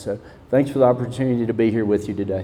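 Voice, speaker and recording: A man speaks at medium pitch with a Southern US accent. His intonation stays monotone and flat. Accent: Southern US, noticeable. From Mississippi. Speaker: school principal. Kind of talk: panel discussion.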